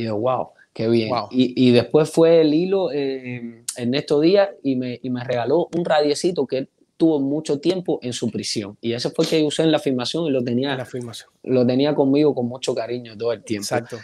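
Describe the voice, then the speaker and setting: At a moderate pace and with hardly any pauses, a man speaks in a dark, mellow tone at medium pitch with ordinary variation. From Cuba. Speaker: actor. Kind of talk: interview. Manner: halting, many repetitions. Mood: warm, grateful, animated. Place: home room. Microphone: earbuds.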